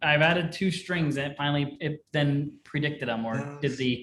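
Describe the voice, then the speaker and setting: A man with an unremarkable speaking voice, a fairly high pitch, fairly even intonation and a moderate pace. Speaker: programming instructor. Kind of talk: live coding class.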